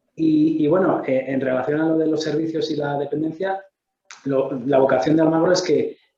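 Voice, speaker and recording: The voice has a dark, mellow tone and moves along at a fairly quick pace. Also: man. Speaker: investment firm representative. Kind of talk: panel discussion. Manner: fast.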